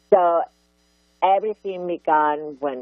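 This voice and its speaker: A woman's fairly low voice with ordinary pitch variation, very slow in pace, over music in the background. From Barcelona, Catalonia, Spain. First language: Catalan or Spanish. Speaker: art activist and author. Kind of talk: interview. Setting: radio show. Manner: animated.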